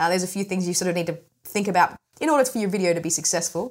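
This woman has a slight Australian accent and a fairly low pitch. She speaks very fast with ordinary pitch variation. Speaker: smartphone filmmaking expert. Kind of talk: interview. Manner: mumbly.

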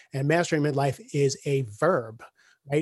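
Over a quiet background, a man with a plain, everyday voice and fairly high pitch talks at a moderate pace. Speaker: executive coach and author. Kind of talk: casual interview chat.

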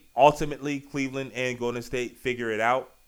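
Man with an unremarkable speaking voice at a moderate pace. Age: 30s. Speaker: sports podcast host. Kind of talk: casual sports talk.

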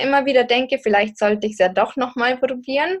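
Speech moves along at a fairly quick pace. The pitch shifts in an ordinary way. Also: woman. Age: 20s. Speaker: podcaster and singles coach. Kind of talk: interview conversation.

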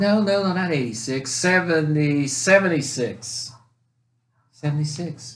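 A man with an American accent, somewhat breathy, fairly high-pitched, at a very slow pace with ordinary pitch variation. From North Carolina. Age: 60s. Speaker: podcast co-host telling family stories. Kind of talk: casual chat, storytelling.

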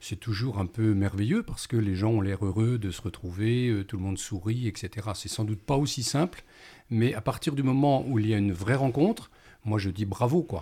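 Speaking at a moderate pace, a man with a fairly low pitch has a dark, mellow, somewhat breathy tone and ordinary pitch variation, recorded very cleanly against a silent background. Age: 60s. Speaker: retired primary school teacher. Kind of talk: radio panel discussion.

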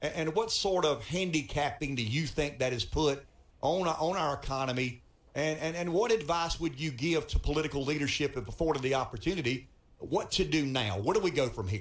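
A somewhat breathy man with a Southern US accent and fairly high pitch talks at a fairly quick pace with lively intonation. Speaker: radio talk show host. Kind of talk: radio interview. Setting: radio studio.

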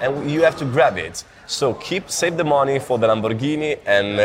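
Someone with an Italian accent speaks at a moderate pace with lively intonation, over noticeable background noise. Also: man. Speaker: growth hacker. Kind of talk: interview. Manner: halting.

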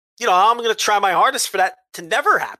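Over a quiet background, a raised, projected voice with a bright, sharp, animated tone comes through dry and close with no echo. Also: man. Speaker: wrestling podcast host. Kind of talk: casual chat. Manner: halting.

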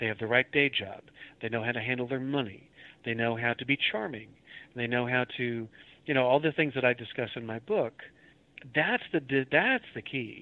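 A man with an American accent speaks at a moderate pace and medium pitch, leaving long, frequent pauses. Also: ordinary pitch variation. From Oklahoma City area, US. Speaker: audiobook narrator and teacher. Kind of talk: interview.

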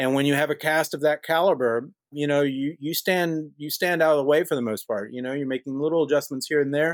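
In a very clean recording with a silent background and a dry, close sound with no echo, a man with an American accent speaks at a fairly quick pace in a fairly high pitch. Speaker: film director. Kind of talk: interview. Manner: animated.

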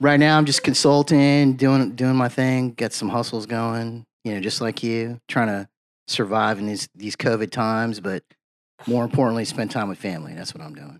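A man with an American accent, a normal speaking voice of medium pitch at a moderate pace, ordinary pitch variation and big swings in loudness, on a very clean recording with a silent background. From Virginia Beach, Virginia, US. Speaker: former state legislator. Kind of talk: casual chat. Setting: studio.

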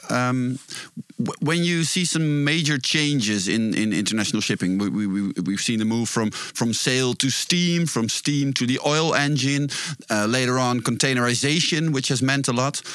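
Over noticeable background noise, a man with a Dutch accent talks at a moderate pace and medium pitch, his pitch varying in an ordinary way and his loudness very even. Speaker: podcast co-host. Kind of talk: interview. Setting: studio. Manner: halting.

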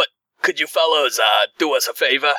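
A man puts on a raspy character voice in a Brooklyn accent. He talks at a fairly quick pace. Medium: actual play.

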